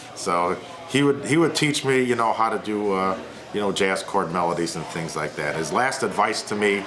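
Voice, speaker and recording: A man with an American accent talks at a moderate pace, his pitch fairly low and his intonation lively. Noticeable background noise and audible room echo surround his voice. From McHenry, Illinois, US Midwest. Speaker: guitarist. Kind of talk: oral history interview.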